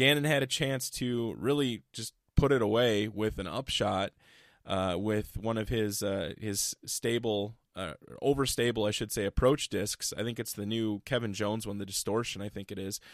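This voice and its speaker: A man with an American accent has a normal speaking voice, fairly low in pitch with ordinary pitch variation. The recording is very clean and dry, with a close sound, no echo and a silent background. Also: moderate pace. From Iowa. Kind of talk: casual chat.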